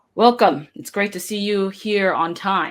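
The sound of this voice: Booming and female-sounding, a put-on character voice sits at a middle pitch and moves at a fairly slow pace.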